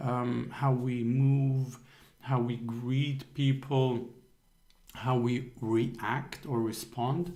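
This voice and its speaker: A man speaks at a very slow pace and medium pitch, with a non-native accent and a dark, mellow tone. His intonation is monotone and flat, his loudness very even, with audible room echo. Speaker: accountability coach. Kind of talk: motivational talk on a group call. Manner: hesitant with frequent fillers.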